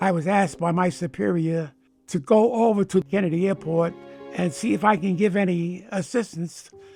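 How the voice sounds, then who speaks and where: A man's high-pitched voice at a moderate pace, with ordinary pitch variation and music in the background. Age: 80s+. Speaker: war veteran; retired police detective. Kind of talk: interview answer.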